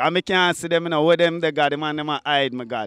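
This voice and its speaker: With a strong Jamaican accent, a man speaks in a bright, sharp tone. The sound is dry and close, with no echo. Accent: Jamaican patois, strong. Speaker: dancehall artist. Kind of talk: casual interview.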